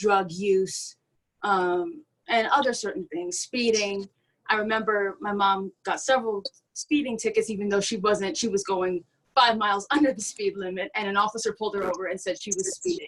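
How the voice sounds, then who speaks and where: At a moderate pace, a woman talks in a plain, everyday voice of medium pitch with ordinary pitch variation. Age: young. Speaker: panelist. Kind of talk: panel discussion.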